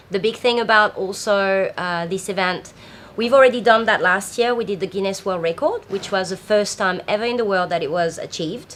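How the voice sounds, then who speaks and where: With a French accent, a woman speaks at a fairly quick pace, her medium pitch showing ordinary variation. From France. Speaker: festival founder. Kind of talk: interview. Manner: hesitant, many fillers.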